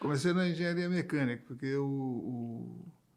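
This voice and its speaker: Here is a man with an ordinary speaking voice. He talks at a moderate pace with ordinary pitch variation. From Brazil, Santa Catarina (Florianópolis), born in Paraná. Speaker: electricity sector executive and engineer. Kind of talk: interview.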